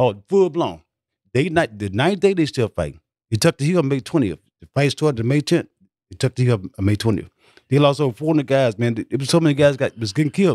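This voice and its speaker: Speaking very fast with lively intonation, a man at medium pitch with a Southern US accent sounds dry and close, with no echo. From US South. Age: 70s. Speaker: war veteran. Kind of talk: casual interview storytelling. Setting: studio.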